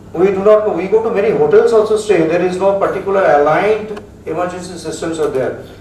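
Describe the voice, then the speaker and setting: A man speaks at a very fast pace with a high voice. Noticeable background noise and audible room echo surround him. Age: 70s. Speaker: metallurgy specialist. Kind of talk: lecture. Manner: halting.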